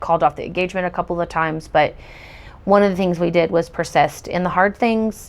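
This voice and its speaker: In an American accent, the speaker goes at a very fast pace. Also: woman. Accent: slight country. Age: 40s. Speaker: testimony speaker. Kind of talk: testimony. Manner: hesitant, many fillers.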